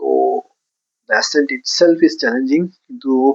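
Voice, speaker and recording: A man's voice with ordinary pitch variation. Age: 40s. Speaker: travel vlogger, tech entrepreneur. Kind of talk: casual travel vlog talk. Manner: nostalgic, reflective.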